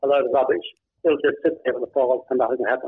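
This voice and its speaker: A man with an Australian accent. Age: 70s. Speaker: author and blogger. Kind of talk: interview.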